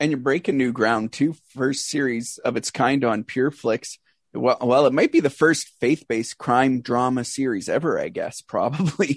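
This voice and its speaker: A man with a Canadian accent speaks in a normal speaking voice at medium pitch with ordinary pitch variation, keeping a moderate pace with hardly any pauses over a quiet background, the sound dry and close with no echo. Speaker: radio host. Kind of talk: interview.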